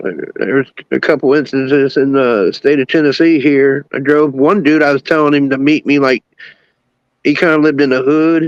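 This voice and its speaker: In an unremarkable speaking voice, a man with fairly high pitch speaks at a moderate pace with fairly even intonation and very even loudness, the sound dry and close with no echo. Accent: American. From Cincinnati, Ohio. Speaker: rapper. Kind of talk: casual chat. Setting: livestream.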